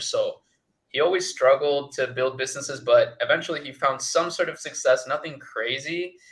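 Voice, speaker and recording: The speaker, with a Spanish accent, talks at a moderate pace. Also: man. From Chile, moved to US at eleven. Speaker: agency founder, ecommerce entrepreneur. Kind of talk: interview. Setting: livestream.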